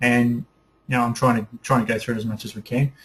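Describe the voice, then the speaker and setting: A man speaks at a medium pitch with a New Zealand accent. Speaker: photography teacher. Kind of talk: webinar lecture. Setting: online webinar broadcast. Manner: fast; enthusiastic.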